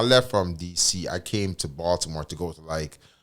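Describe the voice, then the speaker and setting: On a very clean recording with a silent background, a man with a Jamaican accent speaks in a very deep, low pitch with ordinary pitch variation. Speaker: lawyer and business founder. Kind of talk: interview conversation. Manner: halting, many fillers.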